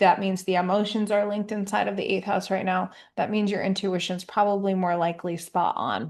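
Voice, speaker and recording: Hardly pausing, a woman speaks at a medium pitch in a monotone, flat intonation against a quiet background. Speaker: astrologer. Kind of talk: horoscope monologue. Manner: casual with fillers.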